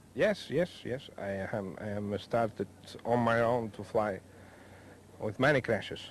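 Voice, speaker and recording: A man at medium pitch, fairly slow, with long, frequent pauses and ordinary pitch variation. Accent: Spanish. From Spain, Mallorca. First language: Spanish. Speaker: helicopter pilot. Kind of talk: interview. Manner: halting.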